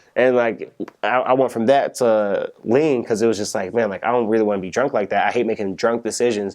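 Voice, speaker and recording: With an American accent, a man speaks at a fairly quick pace in a medium pitch, his intonation fairly even. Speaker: rapper. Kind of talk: interview. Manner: fast.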